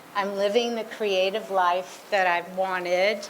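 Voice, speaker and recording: Fairly slow speech from a woman at medium pitch, with noticeable background noise and audible room echo. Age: 70s. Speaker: fashion designer, award honoree. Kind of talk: award acceptance speech.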